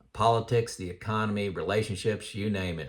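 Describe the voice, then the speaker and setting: A man at a moderate pace, fairly low in pitch, with an American accent. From US Midwest, Indiana. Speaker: personal finance YouTuber. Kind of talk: casual talk to camera. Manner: loud; hesitant, many fillers.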